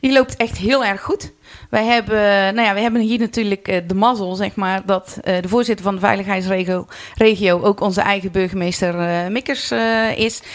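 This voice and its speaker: This woman's voice sits at a medium pitch. She keeps a moderate pace and fairly even intonation. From North Brabant, Netherlands (Vught). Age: 40s. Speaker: carnival club president. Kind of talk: podcast interview. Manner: hesitant, many filler sounds.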